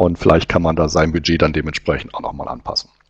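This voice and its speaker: The recording sounds dry with no echo and a quiet background. A man is speaking. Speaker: webinar host presenting recruiting survey results. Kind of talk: webinar presentation. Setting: online webinar. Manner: hesitant, many filler sounds.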